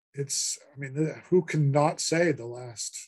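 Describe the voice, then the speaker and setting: Somewhat breathy, a man talks at a fairly high pitch with fairly even intonation. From Massachusetts (Worcester). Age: 60s. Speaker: author and professor. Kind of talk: interview. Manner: halting, many fillers.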